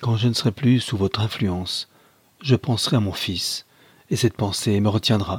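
This is an unforced reading voice. The words come out at the speaker's natural level of effort.

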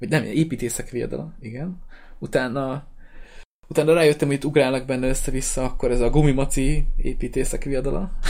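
Fairly high male voice with vocal fry, a fairly quick pace and fairly even intonation. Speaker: gaming podcast host. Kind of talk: casual chat.

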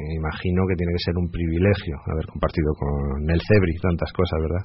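A man speaks at an extremely low pitch. His pace is fairly quick.

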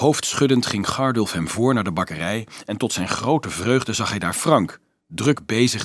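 A passage is read aloud plainly, with ordinary pitch variation. Behind it, all is quiet.

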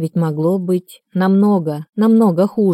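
Someone reads aloud in a natural voice over a quiet background.

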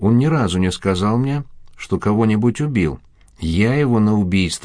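Plain reading aloud is all this recording contains.

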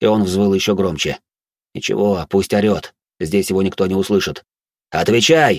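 Quiet surroundings behind an unforced reading voice of fairly even intonation

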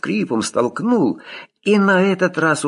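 The text is read aloud in a natural voice, its pitch rising and falling in an ordinary way. Nothing stirs behind it.

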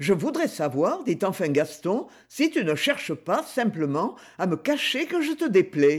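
A text is read out in a natural voice.

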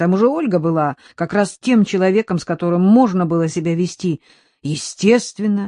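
Ordinary pitch variation in a natural reading voice, over a quiet background

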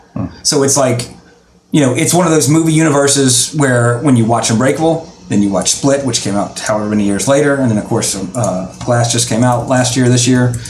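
A Southern US accent with ordinary pitch variation over noticeable background noise. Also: man. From Louisiana. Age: 30s. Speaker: podcast host. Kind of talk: casual chat. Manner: fast talker; animated.

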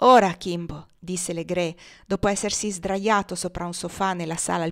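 The delivery uses an unforced reading voice whose intonation stays fairly even.

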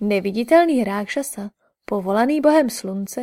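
A natural reading voice with lively intonation and a quiet background.

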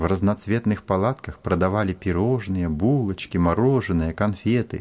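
This is an unforced reading voice. It carries the whole clip.

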